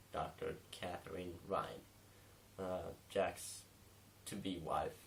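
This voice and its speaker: A man with a non-native accent, very deep and low in pitch, at a very slow pace amid audible room echo. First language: not English. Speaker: film reviewer. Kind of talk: casual review monologue. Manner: many fillers and hesitations (um, uh).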